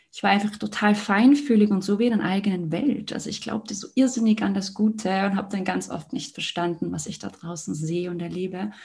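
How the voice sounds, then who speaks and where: A woman's somewhat breathy, medium-pitched voice at a fairly quick pace, with ordinary pitch variation and hardly any pauses. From Liechtenstein. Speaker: mental and heart coach. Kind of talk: casual interview conversation.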